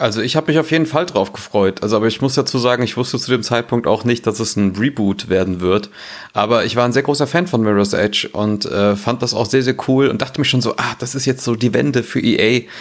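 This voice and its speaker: This man has a normal speaking voice at a medium pitch, with ordinary pitch variation. He talks at a fairly quick pace. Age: 30s. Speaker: gaming blogger. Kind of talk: casual chat.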